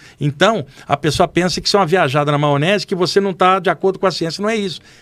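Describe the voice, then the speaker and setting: A man speaks at a very fast pace in a high pitch. His pitch varies in an ordinary way. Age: 60s. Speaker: medium. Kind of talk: podcast interview storytelling. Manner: casual, animated.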